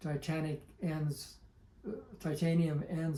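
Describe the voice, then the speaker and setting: At a very slow pace, a man speaks with a dark, mellow tone, somewhat breathy and fairly high in pitch. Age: 70s. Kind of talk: interview answer.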